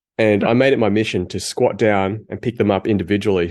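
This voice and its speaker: Here a man with an Australian accent speaks at a very fast pace. His pitch is fairly low, and the background is quiet. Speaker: podcast co-host. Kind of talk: casual chat. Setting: video call.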